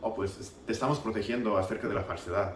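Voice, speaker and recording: In an American accent, a man speaks very fast with ordinary pitch variation, while noticeable background noise and audible room echo fill the recording. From US South (Marietta, Georgia). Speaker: former church member giving testimony. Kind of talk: testimony. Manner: halting.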